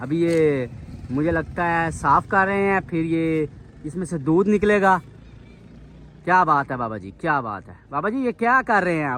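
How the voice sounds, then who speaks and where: A man's high-pitched voice, animated in tone, with lively intonation. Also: big swings in loudness. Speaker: vlogger. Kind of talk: casual vlog.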